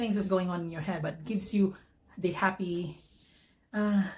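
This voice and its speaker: Somewhat breathy speech delivered at a fairly quick pace. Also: woman. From Philippines. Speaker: vlogger. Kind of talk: personal testimony vlog. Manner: halting, many fillers and restarts.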